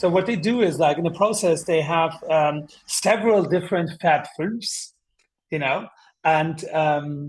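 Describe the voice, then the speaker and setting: Fairly slow speech from a man with a German accent, high in pitch, with ordinary pitch variation. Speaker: TV show host and designer. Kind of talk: podcast interview.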